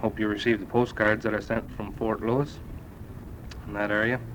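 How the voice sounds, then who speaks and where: A man's fairly low voice keeps fairly even intonation. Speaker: US Army sergeant first class serving in Vietnam. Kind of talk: spoken letter to family on cassette. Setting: old cassette recording. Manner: casual, hesitant.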